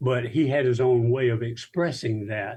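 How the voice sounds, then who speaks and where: Somewhat breathy and dark, mellow in tone, the voice moves at a fairly slow pace over a quiet background. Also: man. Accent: Alabama. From US South, South Alabama. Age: 80s+. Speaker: minister. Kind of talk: interview, life story. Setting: video call.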